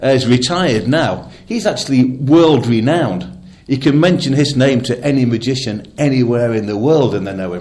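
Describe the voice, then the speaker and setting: Over noticeable background noise and audible room echo, a man speaks at a moderate pace and medium pitch with lively intonation. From northern England (Lancashire, Nottingham-born). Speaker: magician, former drummer. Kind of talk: radio interview.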